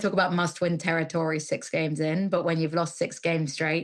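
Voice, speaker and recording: A woman with an English accent talks at a fairly quick pace and fairly low pitch. The recording is very clean, with a silent background. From England. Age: 30s. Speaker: football commentator. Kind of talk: casual chat.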